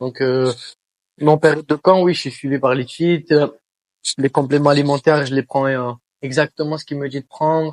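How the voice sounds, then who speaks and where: With long, frequent pauses, a man speaks at a fairly high pitch in monotone, flat intonation, the sound dry and close with no echo. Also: moderate pace. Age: 20s. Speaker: professional MMA fighter. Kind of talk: interview. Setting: shop. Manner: hesitant, many filler sounds.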